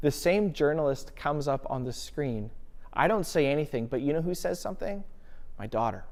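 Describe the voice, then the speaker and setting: The tone is animated. The pace is moderate. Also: man. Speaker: pastor. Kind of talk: sermon. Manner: loud.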